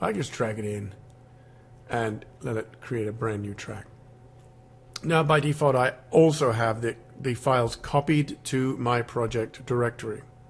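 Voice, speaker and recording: Somewhat breathy and medium in pitch, a man talks at a fairly slow pace with ordinary pitch variation and long, frequent pauses. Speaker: music software tutor. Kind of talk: screen-recorded software tutorial. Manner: casual, halting with fillers.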